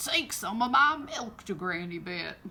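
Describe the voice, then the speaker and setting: Using a put-on character voice, a woman speaks at medium pitch and a moderate pace with very wide pitch swings. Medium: read story.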